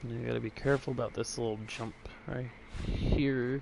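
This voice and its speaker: The quiet voice moves at a moderate pace in a monotone, flat intonation over noticeable background noise. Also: man. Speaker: gaming streamer. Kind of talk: gameplay commentary. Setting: at home early morning.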